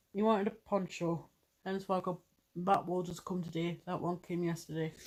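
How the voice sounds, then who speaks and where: In an English accent, a woman speaks at a fairly quick pace with a fairly low pitch and monotone, flat intonation, on a very clean recording with a silent background. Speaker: vlogger. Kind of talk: casual chat.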